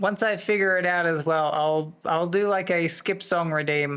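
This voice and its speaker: Moderately paced, a man with an American accent speaks with fairly even intonation. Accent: wandering accent, said to sound American. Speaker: livestreamer. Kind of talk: casual chat. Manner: chatty, rambling with fillers.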